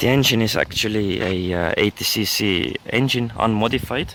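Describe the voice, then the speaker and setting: Lively intonation marks this man's fairly low voice, heard over noticeable background noise. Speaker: motorized bike hobbyist. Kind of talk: casual walkaround talk to camera.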